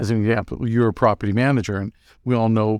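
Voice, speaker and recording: Recorded very cleanly against a silent background, a man talks at a fairly quick pace. His medium-pitched voice has a dry, close sound with no echo. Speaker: association president hosting the show. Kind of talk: casual chat. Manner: upbeat, enthusiastic.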